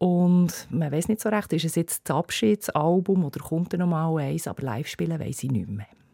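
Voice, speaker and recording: A woman with a Bernese accent speaks at a moderate pace in a fairly low, dark, mellow voice with lively intonation and hardly any pauses. The sound is dry and close with no echo. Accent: Bernese Swiss German. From Bernese Oberland, Switzerland. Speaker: music journalist. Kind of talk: casual chat.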